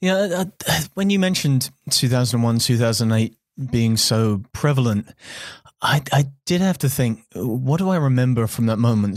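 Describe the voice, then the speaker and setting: The voice carries a British accent and lively intonation at a moderate pace, its loudness very even. The recording is very clean, with a silent background. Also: man. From England. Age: 30s. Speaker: podcast host. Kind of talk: interview conversation.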